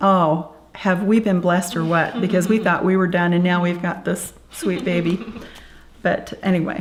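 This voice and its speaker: At a fairly slow pace, a woman speaks in a normal speaking voice of medium pitch, her intonation fairly even. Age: 60s. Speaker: birth grandparent. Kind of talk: interview testimony.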